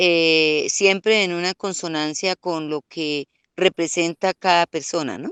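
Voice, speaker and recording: A woman's fairly low voice, very slow, with fairly even intonation and a dry, close sound free of echo. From Colombia, Santander rural area, raised in Bogotá from age 7. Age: 60s. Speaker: rural women's community leader. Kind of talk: interview. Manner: hesitant, many fillers.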